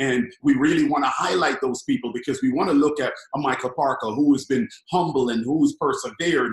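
The speech comes at a fairly quick pace with ordinary pitch variation and audible room echo in a quiet background. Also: man. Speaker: network marketing team leader; guest. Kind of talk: casual chat. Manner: loud. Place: home room. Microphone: webcam.

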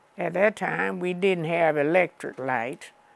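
A woman's fairly low-pitched voice with lively intonation, in a dry sound with no echo. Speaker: interviewee. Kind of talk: interview answer. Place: home room. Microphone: lapel.

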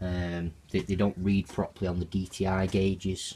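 A somewhat breathy voice at a fairly slow pace, with monotone, flat intonation. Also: man. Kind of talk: casual vlog chat. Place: garage. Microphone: phone near.

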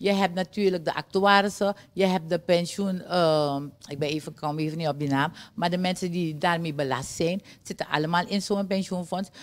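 At a moderate pace, a woman speaks in a fairly low voice with fairly even intonation. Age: 60s. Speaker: trade union leader; guest. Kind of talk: TV interview. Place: studio. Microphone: studio mic.

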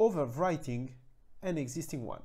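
At a moderate pace, the voice carries a dark, mellow tone and lively intonation.

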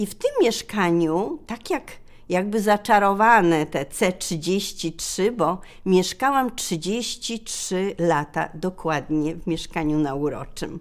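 At a very slow pace, a woman speaks with big swings in loudness. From Poland, Nowa Huta (Kraków); Poland. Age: 60s. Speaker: retired school librarian and poet; poet. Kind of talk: personal reminiscence interview. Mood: warm, nostalgic. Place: shop.

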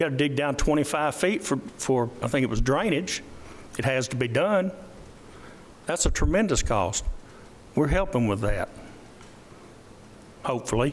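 In a Tennessee accent, a man speaks at very even loudness with long, frequent pauses, and audible room echo. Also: fairly high pitch for a man, lively intonation, moderate pace. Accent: Tennessee Southern. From US South. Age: 70s. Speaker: county commissioner. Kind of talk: public meeting remarks. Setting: council meeting.

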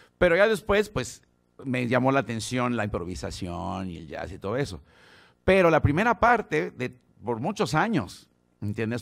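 Against a quiet background, a man with a Mexico City accent speaks at a moderate pace and a medium pitch. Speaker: bass player teaching a masterclass. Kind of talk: masterclass talk. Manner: casual, halting with repetitions. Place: studio. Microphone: studio mic.

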